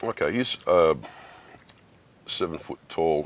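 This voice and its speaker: A man speaks with an Australian accent. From Australia, Sydney. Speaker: actor. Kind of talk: interview.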